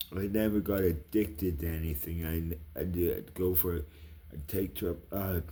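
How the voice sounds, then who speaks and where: A man's very deep, low voice, dark and mellow in tone and somewhat breathy, with ordinary pitch variation. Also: moderate pace. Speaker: vlogger. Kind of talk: casual monologue. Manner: quiet, voice kept down; rambling, halting.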